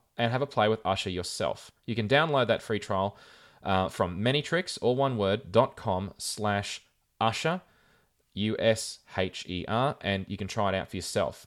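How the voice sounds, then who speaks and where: Lively intonation at a moderate pace, with an Australian accent. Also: man. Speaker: podcast host. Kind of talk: casual chat.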